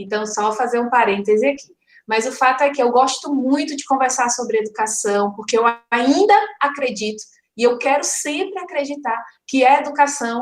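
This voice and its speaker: With audible room echo, a woman speaks at a moderate pace in a high pitch with ordinary pitch variation. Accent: Ceará. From Ceará, Brazil. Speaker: educator, conference speaker. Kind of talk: online lecture. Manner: conversational, many fillers.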